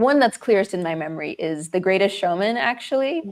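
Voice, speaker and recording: A woman with a Zimbabwean accent speaks at a fairly low pitch. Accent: Americanized Zimbabwean. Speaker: actress and filmmaker. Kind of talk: interview. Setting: livestream. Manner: loud.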